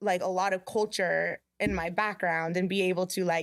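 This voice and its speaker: In a normal speaking voice, a woman talks at a fairly slow pace and medium pitch, her intonation fairly even. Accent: American. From small-town Kansas. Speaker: small business owner. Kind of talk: casual chat.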